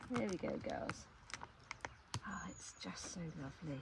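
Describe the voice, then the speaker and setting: Amid noticeable background noise, a woman with an English accent speaks at a very slow pace with lively intonation. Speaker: beekeeper. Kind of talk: casual vlog narration. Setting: outdoors.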